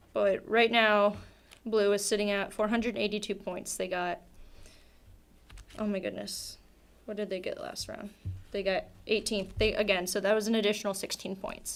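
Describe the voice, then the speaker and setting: Using a flat, monotone intonation with vocal fry, a woman speaks at a moderate pace with long, frequent pauses. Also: medium pitch for a woman. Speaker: esports caster. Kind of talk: live commentary. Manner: casual, filler-heavy.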